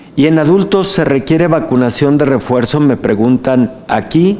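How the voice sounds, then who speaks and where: A man's fairly high voice at a fairly slow pace with ordinary pitch variation, amid audible room echo and noticeable background noise. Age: 60s. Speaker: physician and health official. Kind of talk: lecture Q&A. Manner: filled pauses.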